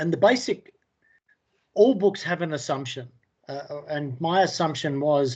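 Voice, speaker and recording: A man's fairly high voice with lively intonation, big swings in loudness, a fairly slow pace, and long, frequent pauses. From England. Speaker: indie author. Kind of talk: interview. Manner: halting, many fillers.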